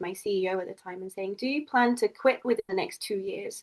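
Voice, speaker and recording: A woman with an English accent at a very fast pace, with ordinary pitch variation. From England. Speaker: community founder and English professor. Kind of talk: podcast interview.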